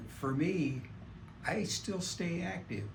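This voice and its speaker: A man speaks with vocal fry, and some room echo can be heard. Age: 70s. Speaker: patient. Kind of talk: testimony.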